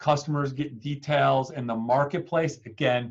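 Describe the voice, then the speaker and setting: A man with a fairly high pitch and fairly even intonation. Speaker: webinar presenter for technology partners. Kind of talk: sales webinar presentation. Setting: online webinar call. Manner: fast.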